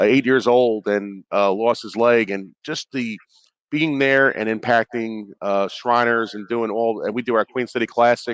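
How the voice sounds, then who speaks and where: A man with a Brooklyn accent speaks at a medium pitch with fairly even intonation, the sound dry and close with no echo. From New York (Brooklyn). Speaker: former NFL player, player engagement rep. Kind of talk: radio interview. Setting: radio row at live sports event.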